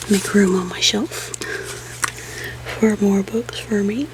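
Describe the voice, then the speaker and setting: Soft-spoken and at a fairly slow pace, a woman talks over noticeable background noise. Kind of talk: ASMR soft-spoken casual talk to camera. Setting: home office.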